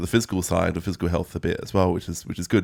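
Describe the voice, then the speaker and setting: A man with an Australian accent and a very deep, low-pitched voice. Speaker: musician and guitar teacher. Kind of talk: interview. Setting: music school. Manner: fast.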